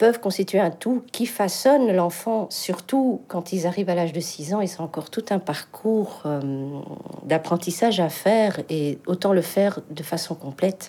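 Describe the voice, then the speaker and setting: In a North African accent, a woman speaks at a fairly slow pace with a medium pitch, a dark, mellow tone and ordinary pitch variation. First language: Berber (speaking French). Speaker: singer. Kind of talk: interview testimony.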